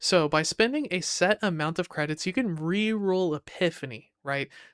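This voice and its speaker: At a moderate pace, the voice sounds excited and animated, on a very clean recording with a silent background. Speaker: gaming YouTuber. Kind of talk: casual game news commentary. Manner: excited, animated.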